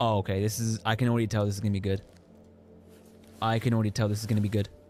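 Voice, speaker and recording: A man speaks at a very fast pace with a fairly low pitch. His loudness stays very even. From England. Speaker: gaming streamer. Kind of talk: live gameplay commentary. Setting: live stream. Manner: animated.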